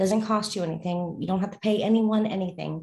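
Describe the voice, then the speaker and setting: Somewhat breathy, this woman talks at a fairly quick pace with a medium pitch and fairly even intonation. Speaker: forex trading video host. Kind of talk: casual instructional. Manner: fast talker.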